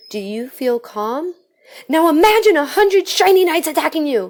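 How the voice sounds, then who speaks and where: A woman's put-on character voice, squeaky and extremely high, with very wide pitch swings at a moderate pace. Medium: read story. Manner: nervous, stammering.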